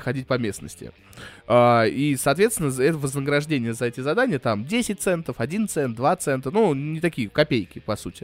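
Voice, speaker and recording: Music plays in the background as a man with a fairly high pitch speaks at a moderate pace with lively intonation. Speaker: podcast co-host. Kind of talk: casual chat. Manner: loud.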